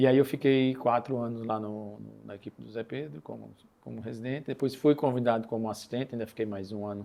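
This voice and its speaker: A man with a Paraíba accent at medium pitch, with a dark, mellow tone, ordinary pitch variation, big swings in loudness, and a fairly quick pace. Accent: Northeastern Brazilian (Paraíba). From Northeast Brazil, Campina Grande, Paraíba. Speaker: cardiovascular surgeon. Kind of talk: podcast interview.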